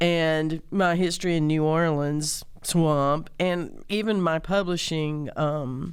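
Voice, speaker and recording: With a Southern US accent, a woman speaks at a very slow pace in a very deep, low voice, with hardly any pauses, very even loudness, fairly even intonation and audible room echo. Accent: southern drawl. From Mississippi, US South. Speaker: singer-songwriter and community organizer. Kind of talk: interview conversation. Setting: studio.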